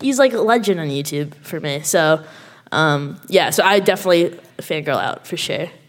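Moderate pace and lively intonation against noticeable background noise. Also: woman, fairly low pitch for a woman. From Canada. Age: 20s. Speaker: YouTuber. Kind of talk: live panel discussion. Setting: stage with audience. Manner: halting.

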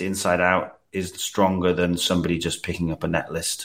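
A man with a British accent is heard in a very clean recording with a silent background. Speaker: special guest, tabletop player. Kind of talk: casual chat.

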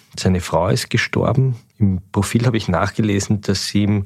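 On a very clean recording with a silent background, a man with a fairly low pitch and a somewhat breathy voice speaks at a moderate pace. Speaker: newspaper editor-in-chief, podcast host. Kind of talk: interview.

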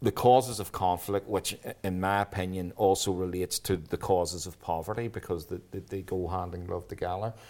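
The recording is very clean with a silent background. A man in a Belfast accent speaks at a moderate pace with a very deep, low pitch. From Northern Ireland. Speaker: army veteran and peace activist. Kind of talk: interview. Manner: halting.

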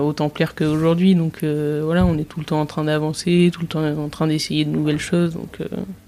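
A woman with a very deep, low voice and a dark, mellow tone talks at a fairly quick pace in a flat monotone. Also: hardly any pauses. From Nice, southern France. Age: 20s. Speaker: chef. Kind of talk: casual interview.

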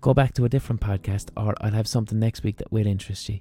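In an Irish accent, a man talks with a dark, mellow tone that is somewhat breathy, with fairly even intonation and a dry, close sound with no echo. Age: 30s. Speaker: podcast host. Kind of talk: monologue. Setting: studio.

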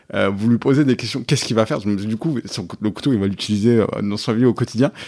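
Words come very fast from this man. His voice is fairly low, and its pitch moves in an ordinary way. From France, Auvergne (Thiers, Puy-de-Dôme). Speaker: startup co-founder. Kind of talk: interview. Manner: hesitant, many fillers.

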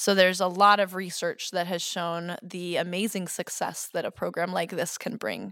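With an American accent and a bright, sharp tone, a woman speaks in a monotone, flat intonation at a moderate pace with hardly any pauses. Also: medium pitch for a woman. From Boston suburbs, Massachusetts. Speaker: kindergarten Spanish immersion teacher. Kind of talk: interview.

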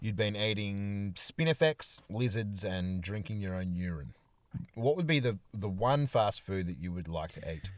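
A man speaks with an Australian accent and a lively intonation. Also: fairly low pitch for a man, moderate pace. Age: 30s. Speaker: podcast co-host. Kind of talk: casual chat. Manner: animated.

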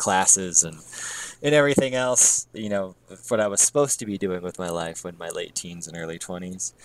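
Using a plain, everyday voice, a man with an American accent talks at a fairly quick pace and fairly low pitch, the sound dry and close with no echo. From US Midwest. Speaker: music podcast co-host. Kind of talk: casual chat.

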